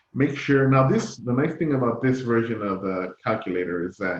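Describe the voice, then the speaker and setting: An unremarkable speaking voice moves at a fairly quick pace. Its pitch variation is ordinary. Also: man. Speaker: math instructor. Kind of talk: lecture.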